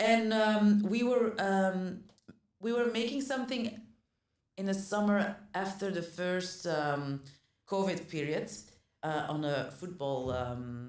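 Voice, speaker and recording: Speaking at a very slow pace with long, frequent pauses, a woman with a Flemish accent swings her pitch very widely amid audible room echo. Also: medium pitch for a woman. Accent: Flemish Dutch accent in English. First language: Dutch. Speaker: actor. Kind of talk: casual chat. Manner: halting, many fillers and restarts.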